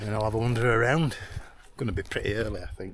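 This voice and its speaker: Male voice, somewhat breathy, its pitch varying in an ordinary way. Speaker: hiking vlogger. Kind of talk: casual vlog narration. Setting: outdoors on fells. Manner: soft-spoken.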